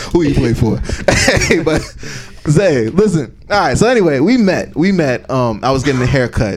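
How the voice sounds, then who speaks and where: A man talks at a moderate pace in a fairly high pitch, his voice swinging very widely up and down. Noticeable background noise runs behind him. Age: 20s. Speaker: podcast co-host. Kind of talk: casual chat.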